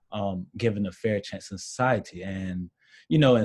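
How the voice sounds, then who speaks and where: A man with an American accent uses a normal speaking voice at a fairly low pitch with ordinary pitch variation. The recording is very clean, with a silent background. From South Carolina. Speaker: college student. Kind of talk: interview.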